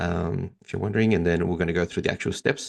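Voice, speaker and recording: Someone with an American accent talks at a very fast pace, the sound dry and close with no echo against a quiet background. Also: man. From Sydney, Australia. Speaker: DJ and marketing trainer. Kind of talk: webinar presentation. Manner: hesitant, many fillers.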